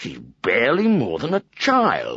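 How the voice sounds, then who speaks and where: A man puts on a character voice. It comes out gruff and growling. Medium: read story. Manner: gruff, growling.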